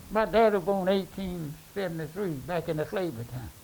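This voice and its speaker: A high-pitched man with a Mississippi accent, ordinary pitch variation and a moderate pace. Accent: Southern US (Mississippi). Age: 80s+. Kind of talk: interview answer.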